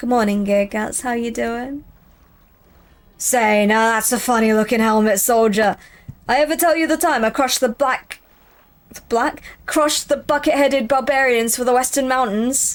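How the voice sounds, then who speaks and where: A woman puts on a character voice, high in pitch and raised and projected. She leaves long, frequent pauses. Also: moderate pace. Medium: game stream. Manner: loud, bellowing, boastful.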